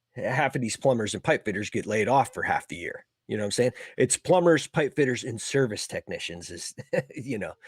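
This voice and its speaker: In a normal speaking voice, a man of medium pitch talks at a fairly quick pace with lively intonation, the sound dry and close with no echo. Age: 40s. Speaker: HVAC service technician. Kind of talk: casual chat.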